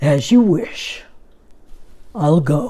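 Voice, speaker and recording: The voice is a put-on character voice. Its pitch sits in the middle range. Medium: read story.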